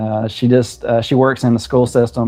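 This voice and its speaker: A man with a Southern US accent, medium in pitch, fairly quick in pace and fairly even in intonation, over music in the background. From South Carolina. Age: 50s. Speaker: home cook and aspiring farmer. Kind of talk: casual live-stream chat. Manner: halting, many fillers.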